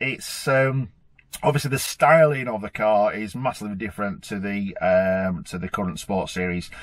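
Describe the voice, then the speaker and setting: A man with a British accent speaks at a fairly low pitch. He keeps a moderate pace with ordinary pitch variation. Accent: regional British. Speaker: supercar owner and car vlogger. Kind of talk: car review vlog. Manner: hesitant, many fillers.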